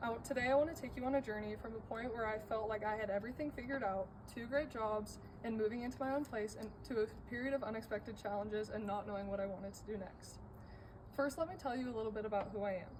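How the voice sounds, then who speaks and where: A woman with an American accent speaks at a very fast pace, her fairly high pitch showing ordinary variation. Background noise is noticeable. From Colorado, US. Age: 18. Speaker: college student. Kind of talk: class speech.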